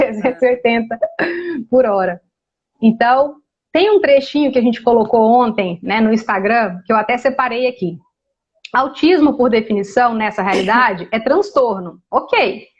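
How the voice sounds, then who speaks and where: Her tone animated, a woman speaks at a moderate pace with ordinary pitch variation. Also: fairly high pitch for a woman. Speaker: energy therapy facilitator. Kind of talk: casual interview on a live stream. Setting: online live stream.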